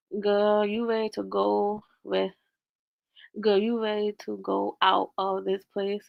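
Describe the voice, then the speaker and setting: An American accent comes through. Delivery is very slow. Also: woman. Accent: Southern country accent, noticeable at times. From US South, Augusta, Georgia. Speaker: livestreamer. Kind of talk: casual chat. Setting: livestream. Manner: chatty, repetitive.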